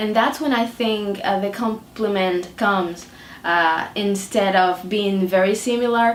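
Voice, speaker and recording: Using a Dominican accent, a woman with a medium-pitched voice speaks at a fairly slow pace with fairly even intonation. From Dominican Republic. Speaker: artist. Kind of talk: interview. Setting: artist's studio. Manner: hesitant, many fillers.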